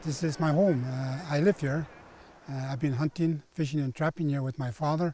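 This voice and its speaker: Somewhat breathy and dark, mellow in tone, the voice moves at a moderate pace with fairly even intonation on a very clean recording with a silent background and a dry, close sound with no echo. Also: man, fairly high pitch for a man. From northern Quebec, Cree territory. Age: 70s. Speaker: Cree elder and forestry consultant. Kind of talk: documentary interview.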